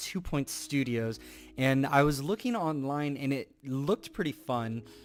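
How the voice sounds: A natural reading voice. The pitch varies in an ordinary way.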